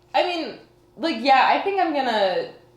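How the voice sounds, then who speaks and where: A woman's voice swings very widely in pitch. Audible room echo and noticeable background noise surround it. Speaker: college student. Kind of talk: casual interview. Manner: loud.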